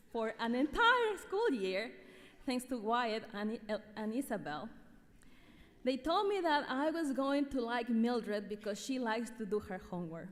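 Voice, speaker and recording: A woman with a high pitch and lively intonation speaks at a moderate pace. She leaves long, frequent pauses, and noticeable background noise runs throughout. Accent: Ecuadorian. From Ecuador. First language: Spanish. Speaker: teacher. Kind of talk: award speech. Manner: formal.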